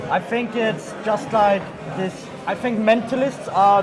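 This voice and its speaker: With noticeable background noise and audible room echo, a man with a high pitch speaks in a monotone, flat way at a fairly slow pace. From Austria. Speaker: magician and mentalist. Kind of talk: casual chat.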